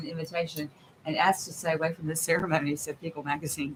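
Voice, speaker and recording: A fairly low-voiced woman at a fairly quick speed. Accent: Southern. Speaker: podcast co-host. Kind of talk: casual chat.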